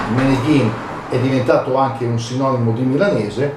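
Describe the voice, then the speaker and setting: Medium-pitched male speech at a moderate pace with fairly even intonation, audible room echo and noticeable background noise. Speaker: dialect and proverbs commentator. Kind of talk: casual educational talk. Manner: hesitant, many fillers.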